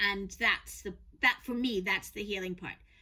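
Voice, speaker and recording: A woman's bright, sharp tone in a New York accent, at a moderate pace. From New York, US. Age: 50s. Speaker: podcast co-host, lawyer and author. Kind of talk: casual conversation.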